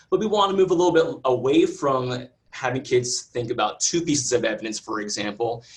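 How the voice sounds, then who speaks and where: Talking at a fairly quick pace with hardly any pauses, a man uses a medium-pitched, somewhat breathy voice with lively intonation. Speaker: science educator presenting a webinar. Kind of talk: webinar presentation. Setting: video call webinar. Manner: fast.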